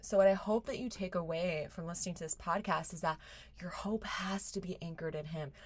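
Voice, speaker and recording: Her voice is fairly low for a woman and somewhat breathy, moving along at a fairly quick pace. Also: ordinary pitch variation. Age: 20s. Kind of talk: devotional monologue. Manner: animated.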